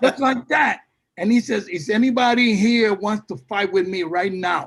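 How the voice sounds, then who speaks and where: A man talks with a Puerto Rican New York accent. His pitch is high and varies in an ordinary way. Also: moderate pace. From Puerto Rico, moved to New York at fifteen. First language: Spanish. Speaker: salsa singer. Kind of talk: interview. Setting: video call. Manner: halting, many fillers and repetitions.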